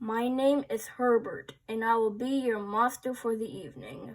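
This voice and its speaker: At a moderate pace, the voice heard is a put-on character voice. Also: woman, fairly high pitch for a woman. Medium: read story. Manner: polite, formal.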